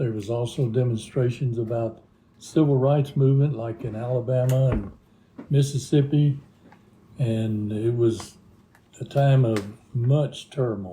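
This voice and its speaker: With a Texan accent and a dark, mellow, somewhat breathy tone, the speaker moves at a fairly slow pace with fairly even intonation and long, frequent pauses. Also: man, medium pitch for a man. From Texas, Deep South (Harlingen). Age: 80s+. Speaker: retired teacher, interviewee. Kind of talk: interview.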